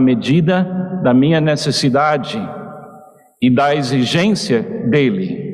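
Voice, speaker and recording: Lively intonation from a man with a fairly high voice, audible room echo around him. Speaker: visiting preacher. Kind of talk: sermon.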